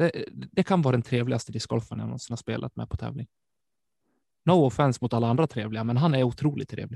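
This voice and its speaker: A man speaks at a very fast pace with medium pitch, vocal fry and a dark, mellow tone. The sound is dry and close with no echo, over a quiet background. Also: ordinary pitch variation. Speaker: disc golf podcast host. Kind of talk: casual chat. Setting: studio.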